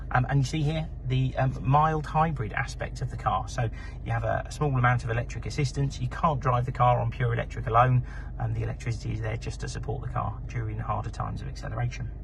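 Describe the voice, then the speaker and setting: Speech comes at a very fast pace. Noticeable background noise and audible room echo are present. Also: man. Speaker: car salesperson. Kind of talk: sales pitch.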